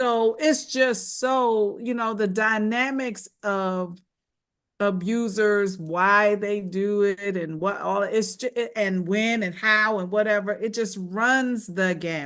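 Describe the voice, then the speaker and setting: At a very slow pace, a woman speaks at a medium pitch with ordinary pitch variation against a quiet background. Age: 60s. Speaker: domestic violence survivor, panelist. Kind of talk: panel discussion, personal testimony. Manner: halting.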